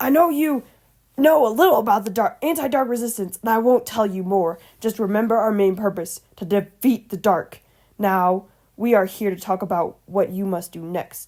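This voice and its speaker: A woman's put-on character voice at a medium pitch and moderate pace. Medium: read story. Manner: curt, commanding.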